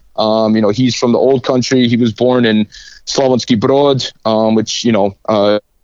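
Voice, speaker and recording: A man with a Chicago accent speaks at a medium pitch and a moderate pace in a flat monotone. His loudness stays very even, and the sound is dry and close with no echo. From Chicago, South Side. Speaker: soccer coach. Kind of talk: interview.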